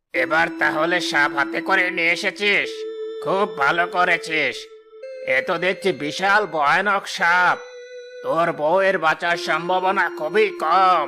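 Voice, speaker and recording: In a cartoonish character voice, a man speaks at a fairly slow pace and a high pitch while clear music plays behind him. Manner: gruff, authoritative.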